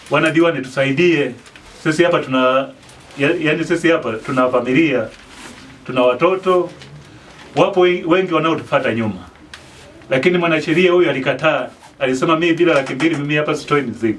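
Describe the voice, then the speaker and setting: There is light background noise as a man speaks at a fairly quick pace with ordinary pitch variation. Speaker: market street vendor. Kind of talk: interview answer. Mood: complaining but smiling. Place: home room. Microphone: handheld.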